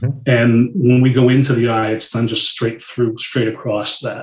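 A man's somewhat breathy voice at medium pitch, fairly quick in pace, with monotone, flat intonation. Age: 50s. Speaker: medical device sales consultant. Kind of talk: casual interview.

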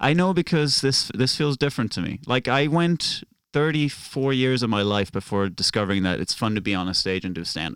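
A man with a Norwegian accent at medium pitch, very wide pitch swings, hardly any pauses, and a very clean recording against a silent background. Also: fairly quick pace. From Norway. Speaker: stand-up comic. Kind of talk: casual chat.

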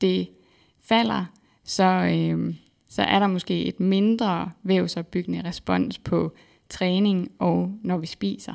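Each word comes at a very slow pace from this woman. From Denmark, central Jutland. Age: 20s. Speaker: PhD researcher in exercise physiology. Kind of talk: interview. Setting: studio.

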